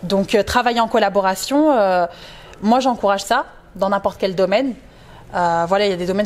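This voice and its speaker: The speaker is a woman with ordinary pitch variation. She moves at a fairly quick pace. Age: 20s. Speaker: plus-size model and motivational speaker; interviewee. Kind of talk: casual interview. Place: studio. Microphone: lapel.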